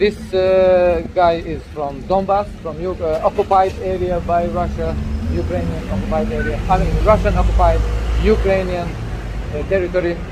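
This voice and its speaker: There is noticeable background noise and audible echo from the room as the man talks. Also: moderate pace. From Chechnya. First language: Chechen. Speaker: activist blogger. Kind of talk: explanation to police officer. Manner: halting, many fillers.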